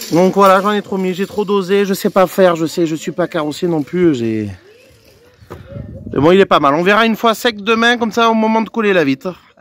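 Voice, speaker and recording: A man's high voice at a fairly quick pace, with ordinary pitch variation and noticeable background noise. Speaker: car DIY youtuber. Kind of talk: casual tutorial vlog. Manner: loud; casual, hesitant.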